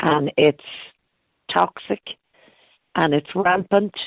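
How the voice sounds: A woman speaks at a slow pace with ordinary pitch variation. The sound is dry and close, with no echo.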